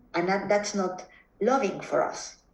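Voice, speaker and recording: With a Mexican accent, a woman speaks at a fairly slow pace and ordinary pitch variation amid audible room echo. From Mexico. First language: Spanish. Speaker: psychotherapist. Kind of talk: interview conversation. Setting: video call. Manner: halting, frequent repetitions.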